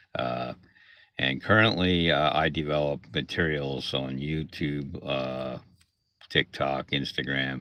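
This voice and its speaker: Very slow and fairly even in intonation, a man with a Pennsylvania accent speaks in a very deep, low pitch. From Pennsylvania (Lancaster area). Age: 60s. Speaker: content creator and arcade technician. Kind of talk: casual livestream talk. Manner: hesitant, many fillers.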